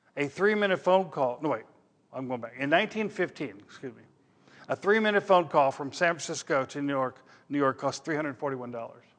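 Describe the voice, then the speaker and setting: Against a quiet background, a man with a Midwestern American accent talks at a fairly quick pace and fairly high pitch with lively intonation. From Missouri, US Midwest. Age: 60s. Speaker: pastor. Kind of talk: sermon.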